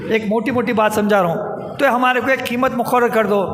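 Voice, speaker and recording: A man speaks in a flat monotone at an extremely high pitch and a moderate pace, with audible room echo and noticeable background noise. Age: 60s. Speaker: public speaker, community activist. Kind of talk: public speech.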